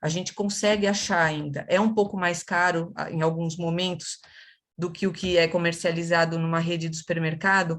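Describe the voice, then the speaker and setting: A woman with a São Paulo accent, fairly low pitch, monotone, flat intonation and moderate pace. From São Paulo, Brazil. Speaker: nutritionist, webinar speaker. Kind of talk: webinar talk.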